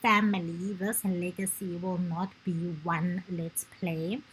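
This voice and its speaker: Very slowly and somewhat breathily, a woman with a non-native accent speaks at medium pitch. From South Africa. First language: not English. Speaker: gaming YouTuber. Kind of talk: let's play commentary. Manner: halting.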